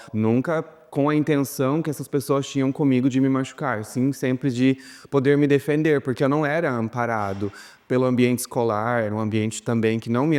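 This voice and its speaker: A man's voice sits at a medium pitch. He talks at a moderate pace with fairly even intonation. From interior of Paraná, Brazil. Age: young. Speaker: documentary interviewee. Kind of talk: testimony. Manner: halting.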